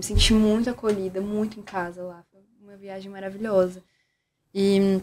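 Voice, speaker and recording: A woman's monotone, flat delivery at a moderate pace, with big swings in loudness and light background noise. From Brazil, Minas Gerais. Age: 20s. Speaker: therapist and communicator; podcast guest. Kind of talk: casual chat. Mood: warm, reflective. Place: studio. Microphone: studio mic.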